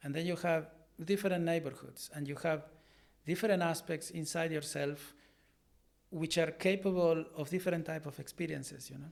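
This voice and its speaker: At a moderate pace, a fairly high-pitched man speaks in a monotone, flat intonation with long, frequent pauses. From Argentina. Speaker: artist and art teacher. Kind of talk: interview. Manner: halting, with many repetitions.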